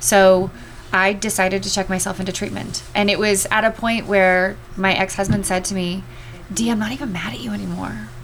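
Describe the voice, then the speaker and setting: A woman's voice at a medium pitch, with ordinary pitch variation and a fairly quick pace, over noticeable background noise. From US West Coast, Los Angeles. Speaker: addiction recovery outreach worker, former broadcaster. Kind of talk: testimony.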